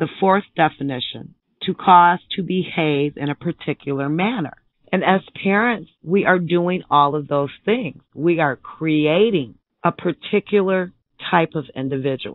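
A woman with an American accent speaks fairly slowly in a fairly low voice. Her intonation is lively. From Michigan. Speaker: author and parent. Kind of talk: radio interview.

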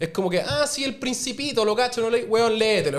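A man speaks with a Chilean accent. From Chile, Viña del Mar. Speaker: restaurant owner and TV cook; podcast guest. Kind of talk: casual chat. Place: studio. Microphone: studio mic.

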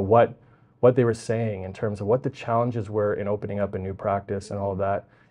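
Very fast speech from a fairly low-pitched man with a Western Canadian accent, fairly even intonation and big swings in loudness, over a quiet background. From Vancouver Island, British Columbia, Canada; British Columbia, Canada. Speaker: provincial politician, election candidate; candidate. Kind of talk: interview. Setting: library. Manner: halting, many fillers and repetitions. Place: studio. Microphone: lapel.

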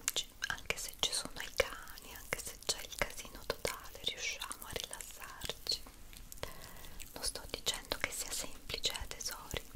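Whispering at a fairly slow pace, a woman speaks in a gentle tone. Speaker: ASMR creator. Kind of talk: soft ASMR relaxation talk. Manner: gentle intimate whisper. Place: home room.

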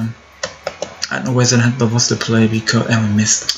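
There is noticeable background noise. A man at medium pitch talks very fast in a flat monotone. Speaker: gaming youtuber. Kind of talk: live gameplay commentary.

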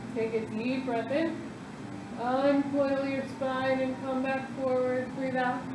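With noticeable noise behind her, a woman speaks very slowly in a high, monotone, flat voice at very even loudness. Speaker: fitness instructor. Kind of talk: guided yoga tutorial. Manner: calm, steady, rhythmic cueing; counts briskly in long runs.

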